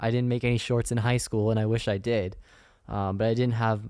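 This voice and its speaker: A man with a Californian accent and fairly even intonation on a very clean recording with a silent background. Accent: Californian American. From Northern California, Sacramento. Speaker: podcast host, student filmmaker. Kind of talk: solo podcast monologue.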